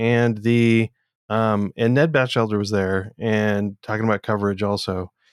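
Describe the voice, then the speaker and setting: At a moderate pace, an ordinary speaking voice comes through on a very clean recording with a silent background. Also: man. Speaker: podcast co-host. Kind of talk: casual tech chat.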